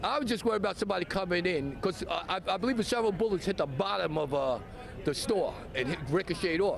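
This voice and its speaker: Over noticeable background noise, a man talks at a very fast pace in a high pitch, with lively intonation and very even loudness. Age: 60s. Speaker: shooting witness. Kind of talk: news interview. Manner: halting.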